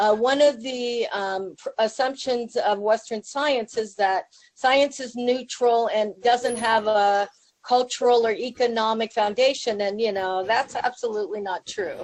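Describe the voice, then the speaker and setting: With an American accent, a woman speaks at a fairly slow pace and fairly high pitch, with ordinary pitch variation, in an unremarkable speaking voice. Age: 60s. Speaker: public health professor. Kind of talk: conference talk. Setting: video call to a conference room. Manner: casual, with many fillers.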